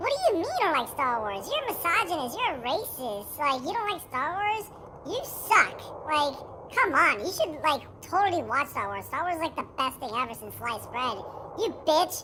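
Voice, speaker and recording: Putting on a character voice, a woman speaks at a moderate pace and a high pitch with very wide pitch swings, over clear background noise. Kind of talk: casual, filler-heavy, like totally. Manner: aggressive, accusatory, exaggerated.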